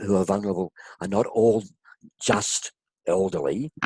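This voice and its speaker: With an Australian accent, a man speaks in a fairly low, dark, mellow voice, recorded dry and close with no echo. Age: 60s. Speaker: health consumer, kidney transplant recipient. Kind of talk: interview testimony.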